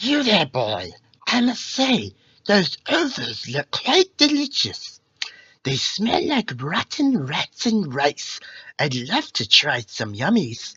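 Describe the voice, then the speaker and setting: A put-on character voice, fairly high in pitch, at a very slow pace. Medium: read story. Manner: quaintly formal.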